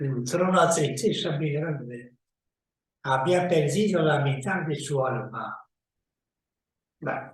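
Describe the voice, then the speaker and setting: Speaking at a very slow pace with long, frequent pauses, a man with a fairly high pitch sounds somewhat breathy and shows ordinary pitch variation. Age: 90s. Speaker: magician. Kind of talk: casual talk to camera.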